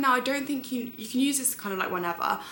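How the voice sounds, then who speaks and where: Noticeable background noise and audible room echo accompany a woman with a British accent speaking with ordinary pitch variation. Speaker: beauty and lifestyle vlogger, model. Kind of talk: beauty tutorial vlog. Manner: fast; chatty, casual.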